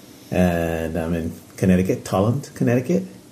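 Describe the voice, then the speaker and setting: Over noticeable background noise and audible room echo, a man with an American accent talks at a fairly slow pace in a very deep, low pitch with ordinary pitch variation. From Japan, US military bases. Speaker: podcast co-host visiting. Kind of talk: casual chat.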